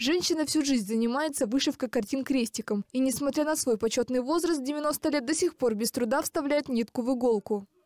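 A woman speaks at a fairly quick clip in a high voice, her loudness very even and her sound dry and close with no echo, with hardly any pauses. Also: ordinary pitch variation. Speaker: TV news reporter. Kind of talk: TV news report.

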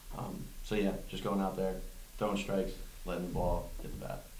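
A man talks at a moderate pace with little pitch movement. Room echo can be heard.

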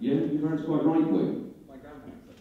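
Strong room echo surrounds a man speaking at a fairly high pitch and moderate pace with ordinary pitch variation. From Leeds, northern England; northern England. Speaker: stand-up comedian. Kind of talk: stand-up. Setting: stage with audience. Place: hall. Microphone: handheld.

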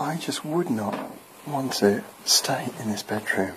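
A man whispering over noticeable background noise. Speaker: building surveyor. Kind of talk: casual walkthrough talk to camera. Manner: partly whispered.

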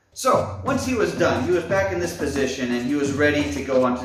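A man at a fairly quick pace, with audible room echo and clear music in the background. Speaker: storyteller vlogger. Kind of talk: casual vlog chat. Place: home room. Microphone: camera far.

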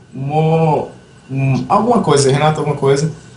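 Audible room echo follows a man speaking at a fairly high pitch and a moderate pace. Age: 20s. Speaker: esports tournament organizer; show host. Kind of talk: casual chat. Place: home room. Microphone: headset.

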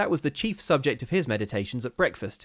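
A man at a moderate pace, his pitch swinging very widely, with a quiet background. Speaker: storyteller. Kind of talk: ghost story reading. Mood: calm, measured, eerie. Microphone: studio mic.

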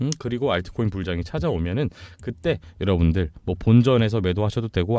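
A man talks at a fairly quick pace with a fairly low pitch. His tone is dark and mellow. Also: dry, close sound with no echo. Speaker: crypto YouTuber. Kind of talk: sales pitch.

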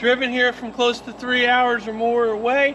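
Noticeable background noise is present as someone talks in a raised, projected voice. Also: man. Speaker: truck dealer salesman. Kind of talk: sales pitch. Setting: outdoors at truck lot. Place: open country.

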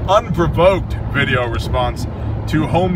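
Very slow speech from a man, dry with no echo, over noticeable background noise. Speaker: prepper channel host. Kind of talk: casual talk to camera. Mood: joking, relaxed. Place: car. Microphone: phone near.

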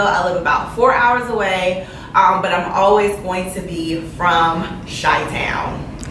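Over light background noise and audible room echo, a woman talks with ordinary pitch variation. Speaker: new vlogger. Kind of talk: casual vlog chat. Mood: cheerful, relaxed. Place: home room.

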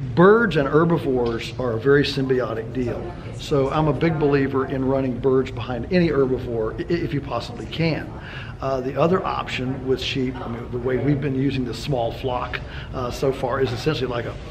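The intonation is fairly even. Background noise is noticeable. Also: man, moderate pace. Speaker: interviewee. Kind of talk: interview answer. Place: meeting room.

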